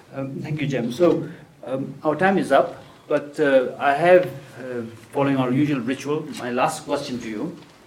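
Against noticeable background noise, a man speaks at a moderate pace with a fairly high pitch and fairly even intonation. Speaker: event host and moderator. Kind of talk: moderated interview and Q&A. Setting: live audience event.

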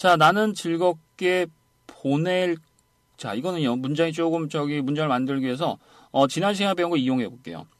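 This man has a fairly high pitch and a normal speaking voice. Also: ordinary pitch variation, moderate pace. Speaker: English conversation teacher. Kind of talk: lecture. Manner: repetitive drilling.

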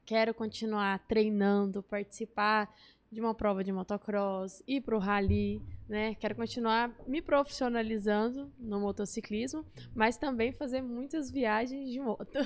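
An ordinary speaking voice from a woman, pitched fairly high with ordinary pitch variation. She speaks at a fairly slow pace. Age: 20s. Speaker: motorcycle racer. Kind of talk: interview.

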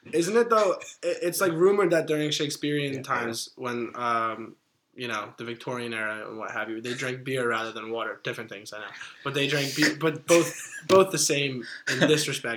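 His loudness swings widely. The man's pitch is fairly high. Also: fairly quick pace. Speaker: student podcast host. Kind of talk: casual chat. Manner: animated.

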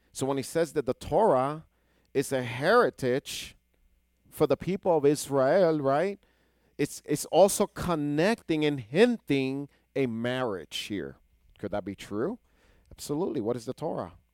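Animated in tone, a man speaks at a fairly slow pace and fairly high pitch with lively intonation, on a very clean recording with a silent background and a dry, close sound with no echo. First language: Hebrew. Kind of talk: sermon. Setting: congregation present.

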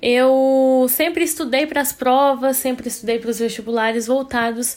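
Her voice is high-pitched for a woman. The woman talks at a fairly slow pace. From interior of Minas Gerais, Brazil. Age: 20s. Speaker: biology student, podcast co-host. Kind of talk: podcast interview.

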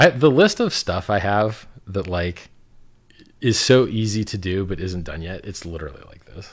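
A normal speaking voice with an American accent moves at a moderate pace with lively intonation and big swings in loudness. The recording is very clean, with a silent background. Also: man, fairly low pitch for a man. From Miami, Florida. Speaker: cryptocurrency founder. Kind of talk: casual chat.

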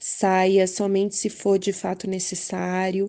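Against a quiet background, the speaker's tone comes across as dark and mellow. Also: woman. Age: young. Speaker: public health administrator. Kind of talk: testimony. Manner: halting, many fillers.

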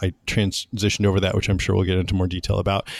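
Monotone, flat intonation in an American accent, with a dry, close sound, no echo, and a very clean recording over a silent background. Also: man. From Central California, US. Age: 40s. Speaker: podcaster, former technical writer. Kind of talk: casual interview chat.

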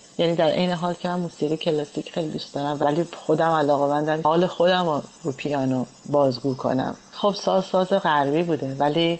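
Speech comes at a moderate pace with ordinary pitch variation. Noticeable background noise runs underneath. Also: woman, very deep, low pitch for a woman. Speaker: pianist. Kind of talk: interview.

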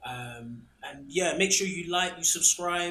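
A man with a London accent speaks in a bright, sharp tone with lively intonation. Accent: London English, Multicultural London style. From Ghana, then UK (council flat). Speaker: food podcast host. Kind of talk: casual chat over a meal. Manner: animated, laughing.

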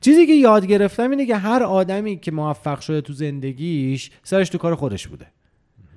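A man with a high pitch speaks at a fairly quick pace with hardly any pauses. His pitch swings very widely and his loudness shifts a great deal. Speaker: games journalist. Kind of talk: casual interview.

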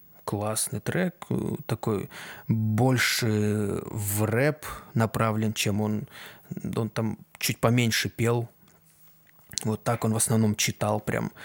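The speech moves at a very slow pace, broken by long, frequent pauses, with fairly even intonation. The sound is dry and close, with no echo. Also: man, fairly low pitch for a man. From Kazakhstan. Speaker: aspiring sound engineer and musician, podcast host. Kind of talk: solo casual podcast monologue. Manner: halting, many filler sounds.

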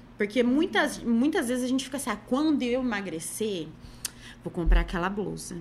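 A woman talks at a fairly quick pace with lively intonation in a normal speaking voice. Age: 30s. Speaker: image consultant and body-positive content creator. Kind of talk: casual podcast interview.

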